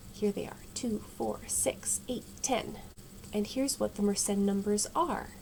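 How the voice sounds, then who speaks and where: A woman speaks in a soft, relaxed tone. Her pitch varies in an ordinary way. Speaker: math video creator. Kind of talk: casual math tutorial. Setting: home at night. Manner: quiet, soft-spoken.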